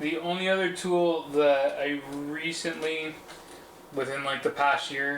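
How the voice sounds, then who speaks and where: A man talks at a very slow pace with fairly high pitch and fairly even intonation. The room echoes audibly, and background noise is noticeable. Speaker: PC builder streamer. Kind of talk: live build stream chat. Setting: livestream. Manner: casual, hesitant.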